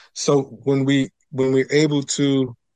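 A man at a medium pitch against a quiet background. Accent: New York. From New York City (Queens). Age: 40s. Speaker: pastor and mindfulness teacher. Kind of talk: interview conversation.

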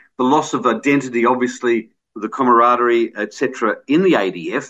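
A man with an Australian accent, quiet background. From Australia, Adelaide. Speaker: radio host. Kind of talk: radio interview and casual chat.

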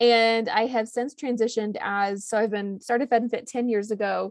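A woman with an unremarkable speaking voice talks at a moderate pace in a fairly high voice. Her intonation is fairly even, over a quiet background. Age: 30s. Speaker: cookbook author. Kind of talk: casual chat.

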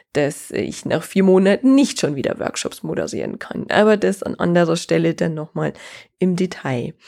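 In a very clean recording with a silent background, a woman speaks at a moderate pace with a fairly low pitch and a dark, mellow tone. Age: 30s. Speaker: podcast host and business consultant. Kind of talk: solo podcast monologue.

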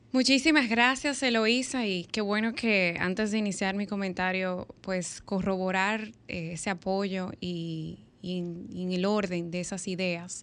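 At a fairly slow pace with hardly any pauses, the speaker has a plain, everyday voice and ordinary pitch variation. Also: woman, medium pitch for a woman. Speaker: radio panelist. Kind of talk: casual chat. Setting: studio.

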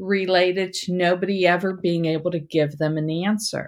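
In a very clean recording with a silent background, a woman uses an ordinary speaking voice at medium pitch with ordinary pitch variation. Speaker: dentist podcast host. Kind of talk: casual conversational podcast.

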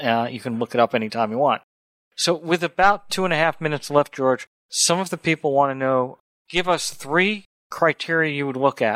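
Recorded dry and close with no echo, a man with a plain, everyday voice speaks at a fairly quick pace, fairly high in pitch with ordinary variation. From New York. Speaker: radio host. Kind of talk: radio interview.

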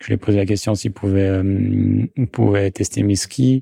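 In a dry, close recording with no echo and a quiet background, a man speaks in a fairly low pitch with a dark, mellow tone and monotone, flat intonation. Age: 30s. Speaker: ski maker, craftsman. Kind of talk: interview. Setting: workshop. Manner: halting, many hesitations.

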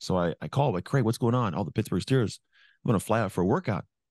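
A dark, mellow voice with an American accent and vocal fry, dry and close with no echo, over a quiet background. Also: man. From California. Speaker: motivational speaker, former pro football player. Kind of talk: interview, storytelling.

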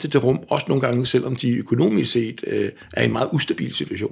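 Vocal fry runs through this man's speech. His pitch sits at a medium level. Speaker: folk musician. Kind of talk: casual chat.

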